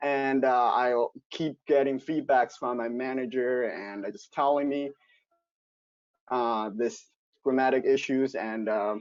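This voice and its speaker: Here a man speaks at a very slow pace with a non-native accent. His pitch is medium, with ordinary variation. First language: not English. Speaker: investment banker. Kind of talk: virtual group discussion. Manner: halting.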